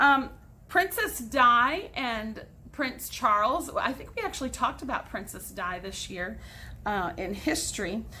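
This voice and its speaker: A woman with an American accent speaks in an animated tone at a high pitch and fairly slow pace. Her voice has very wide pitch swings and big swings in loudness, with audible room echo. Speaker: teacher. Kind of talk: recorded class lesson.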